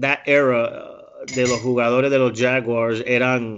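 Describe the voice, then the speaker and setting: A man's voice in a monotone, flat intonation. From US, Jacksonville, Florida. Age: 30s. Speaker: former American football player working for an NFL team. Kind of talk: interview.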